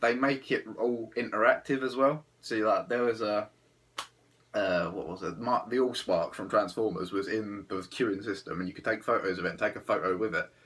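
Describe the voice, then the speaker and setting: A man with an English accent and medium pitch. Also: ordinary pitch variation, moderate pace. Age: 20s. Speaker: travel vlogger. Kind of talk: casual monologue. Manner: hesitant, filler-heavy.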